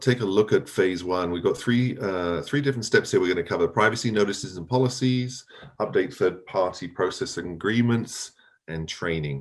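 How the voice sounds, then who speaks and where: A man with an English accent speaks at a fairly low pitch and a moderate pace, with lively intonation. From England. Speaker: privacy compliance speaker. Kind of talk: conference presentation. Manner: hesitant, many fillers.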